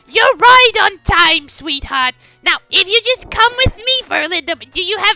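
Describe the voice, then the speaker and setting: An extremely high, put-on character voice from a woman. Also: moderate pace. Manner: sweet, pushy, overly familiar.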